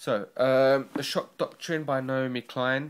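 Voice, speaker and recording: A man speaks in a medium pitch with a North London accent. The recording is very clean, with a silent background. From North London, England. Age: 20s. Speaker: book reviewer vlogger. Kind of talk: casual video review. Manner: halting, many fillers.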